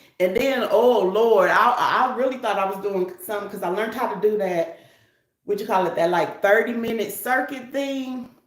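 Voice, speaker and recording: Audible room echo surrounds a woman whose fairly high voice carries an animated tone and ordinary pitch variation. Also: moderate pace. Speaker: wig reviewer and traveling healthcare worker. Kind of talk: casual livestream chat.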